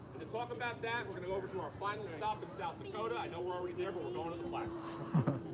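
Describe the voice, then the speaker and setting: The speech runs at a very fast pace with hardly any pauses and very wide pitch swings, with audible room echo and noticeable background noise. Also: man, high pitch for a man. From Long Island, New York. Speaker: park ranger. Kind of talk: public history talk to a tour group. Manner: animated.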